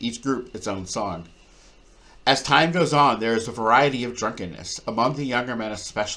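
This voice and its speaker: A man's plain, everyday voice, medium in pitch, at a fairly quick pace with ordinary pitch variation. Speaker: audiobook reader. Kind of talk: reading aloud.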